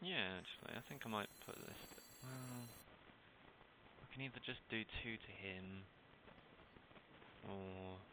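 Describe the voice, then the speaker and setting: A man mumbles at a fairly slow pace with long, frequent pauses. His fairly low voice has a bright, sharp tone and ordinary pitch variation. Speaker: gaming YouTuber. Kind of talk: gameplay commentary. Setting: home recording with webcam and headset. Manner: mumbling.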